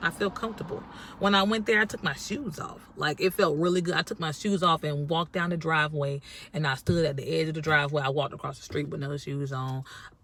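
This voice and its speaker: A woman with a very deep, low voice talks at a very fast pace, her pitch varying in an ordinary way. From North Carolina. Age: 30s. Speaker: vlogger. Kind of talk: casual vlog talk. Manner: casual, chatty.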